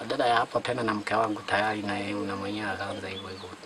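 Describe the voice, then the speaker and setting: Against noticeable background noise, a man speaks in a fairly low, flat monotone. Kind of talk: interview answer. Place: street.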